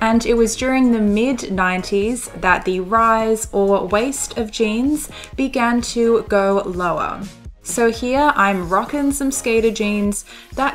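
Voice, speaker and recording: A woman speaks at a very slow pace with a fairly high pitch and ordinary pitch variation. Music plays in the background. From Australia. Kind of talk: fashion lookbook voiceover. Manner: steady pace, clear pronunciation; playful, jokey.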